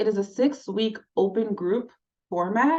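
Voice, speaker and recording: A woman with an unremarkable speaking voice talks at a fairly slow pace in a medium pitch with lively intonation. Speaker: smoking cessation counseling trainer. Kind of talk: online training session.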